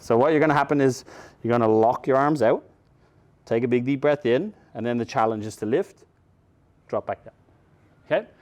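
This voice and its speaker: With an Irish accent, a man talks at a fairly quick pace and ordinary pitch variation, stopping for long, frequent pauses. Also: medium pitch for a man. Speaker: mobility coach. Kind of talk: instructional seminar.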